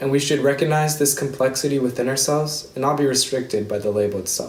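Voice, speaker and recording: A man with an American accent talks at a fairly quick pace in a medium pitch. The room echo is audible. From Seattle, US Pacific Northwest. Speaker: student speaker. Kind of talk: prepared speech. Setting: virtual ceremony.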